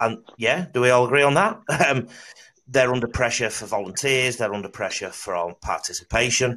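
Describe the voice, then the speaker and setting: A man speaks with a Mancunian accent. His pace is moderate. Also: medium pitch for a man, ordinary pitch variation. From Salford, northern England. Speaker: podcast host. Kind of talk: casual chat.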